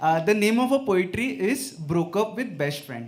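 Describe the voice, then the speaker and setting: A man with an Indian accent talks at a fairly slow pace, his pitch swinging very widely. Room echo is audible. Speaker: open mic poet. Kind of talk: poetry reading. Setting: stage with audience.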